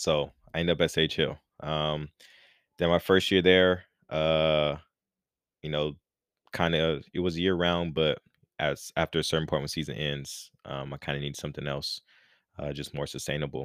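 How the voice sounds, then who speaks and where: This soft-spoken man has a very deep, low voice and an American accent. He talks at a moderate pace in a flat monotone, with long, frequent pauses. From Los Angeles, California. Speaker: life coach, personal trainer. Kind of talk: casual interview. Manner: mellow, quiet, soft-spoken.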